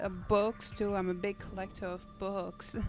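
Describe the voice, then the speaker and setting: Music plays in the background while a woman with a French accent talks at a moderate pace in a monotone, flat intonation. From Guadeloupe (Caribbean). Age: 20s. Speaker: streamer. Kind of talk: casual chat. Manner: halting, many fillers.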